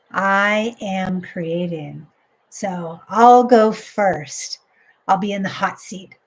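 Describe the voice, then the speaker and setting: A somewhat breathy voice with fairly even intonation speaks at a very slow pace, its loudness swinging widely. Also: woman, medium pitch for a woman. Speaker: life coach. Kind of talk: live coaching stream. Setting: live stream.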